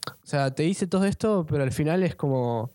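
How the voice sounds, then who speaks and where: The speaker has a Rioplatense accent and ordinary pitch variation. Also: man. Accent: Argentine Rioplatense Spanish. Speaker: podcast co-host. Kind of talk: casual chat.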